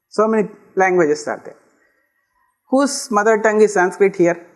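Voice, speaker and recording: Lively intonation marks this speech, delivered at a fairly slow pace with a Kannada accent. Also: man. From Karnataka, India. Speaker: lecturer. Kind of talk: lecture.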